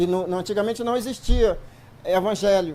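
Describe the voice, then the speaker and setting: A man talks at a fairly quick pace with a high pitch. His tone is dark and mellow. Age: 60s. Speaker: church member. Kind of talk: testimony. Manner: halting.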